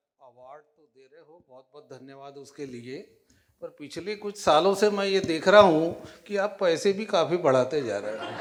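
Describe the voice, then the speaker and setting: With a high pitch and lively intonation, a man speaks in big swings of loudness. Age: 60s. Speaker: businessman, award recipient. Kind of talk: award acceptance speech. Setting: stage at awards event.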